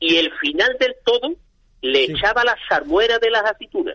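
High-pitched, a man's voice moves in very wide pitch swings. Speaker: olive industry association president. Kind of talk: interview.

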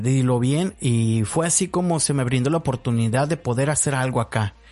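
Against a quiet background, a man speaks at medium pitch and a fairly slow pace with ordinary pitch variation. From Sonora, northwest Mexico. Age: 30s. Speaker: podcaster and pro-life activist. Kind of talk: solo personal monologue. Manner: halting, many fillers and repetitions.

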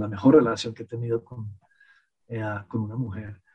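A man speaks at a fairly slow pace. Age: 50s. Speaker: podcast guest, host's partner. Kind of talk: casual chat. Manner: halting.

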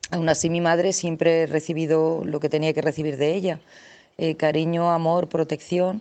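This woman's pitch is very deep and low. She speaks in a monotone, flat way. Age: 40s. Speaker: listener leaving voice message. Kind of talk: recorded voice message. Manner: halting.

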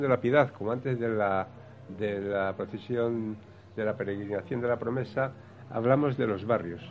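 A man with an ordinary speaking voice talks at a moderate pace and medium pitch, with ordinary pitch variation. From Spain, Valladolid. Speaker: brotherhood member. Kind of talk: radio talk show panel. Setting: café venue with live audience.

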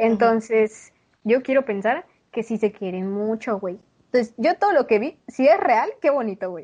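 An ordinary speaking voice from a woman, fairly high in pitch, with lively intonation, big swings in loudness, and a moderate pace against a quiet background. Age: 20s. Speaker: podcast co-host. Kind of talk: casual chat.

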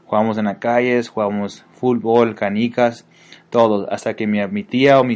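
Against a quiet background, a man talks at a medium pitch and moderate pace in a monotone, flat intonation. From Mexico and US, bicultural. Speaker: student. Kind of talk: scripted narration. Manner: halting.

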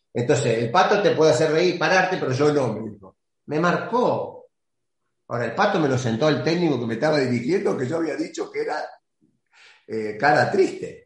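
Audible room echo surrounds a man with a fairly high pitch. He talks at a moderate pace with lively intonation. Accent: Argentine. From Argentina. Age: 60s. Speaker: retired football goalkeeper. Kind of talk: interview.

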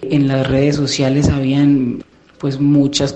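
A man speaks fairly slowly in a fairly high pitch with monotone, flat intonation. Noticeable background noise sits behind him. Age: 20s. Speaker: listener sharing diet experience. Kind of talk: testimony.

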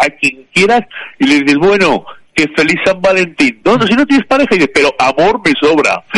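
The sound is dry and close, without any echo. Intonation moves in a lively way. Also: man. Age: 50s. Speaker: radio contributor. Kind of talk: casual chat.

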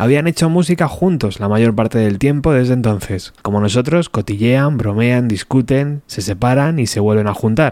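The speaker is a man with an unremarkable speaking voice and medium pitch. He talks at a moderate pace with lively intonation. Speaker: podcast host. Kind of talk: reading aloud.

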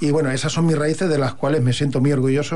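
The man talks at a very fast pace with fairly even intonation. Audible room echo surrounds his voice. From Catalonia, Hospitalet de Llobregat. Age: 50s. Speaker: poet. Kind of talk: radio interview.

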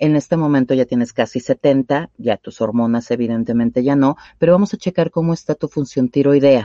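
A woman talks in a very deep, low pitch with ordinary pitch variation. She hardly pauses at all. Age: 40s. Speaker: sexologist. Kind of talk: radio interview. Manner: hesitant, many fillers.

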